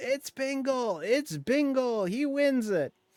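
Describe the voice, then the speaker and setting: In a put-on character voice, the speaker shouts at a fairly slow pace, hoarse and strained, with ordinary pitch variation in a dry, close sound with no echo. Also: man, extremely high pitch for a man. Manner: screaming.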